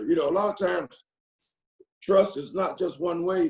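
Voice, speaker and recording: A man with a Southern US accent speaks at a moderate pace in a high voice with ordinary pitch variation. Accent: country Southern. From North Carolina. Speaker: football coach. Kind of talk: press conference Q&A. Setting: video call. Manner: halting, many repetitions and fillers.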